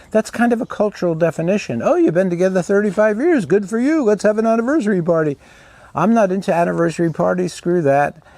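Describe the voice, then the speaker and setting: A very fast pace with lively intonation and very even loudness. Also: man, high pitch for a man. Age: 80s+. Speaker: therapist and coach. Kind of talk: casual talk to camera. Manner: halting.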